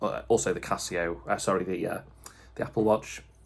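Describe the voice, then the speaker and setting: A man speaks with vocal fry. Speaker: watch collector YouTuber. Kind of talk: casual video review. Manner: hesitant, many fillers.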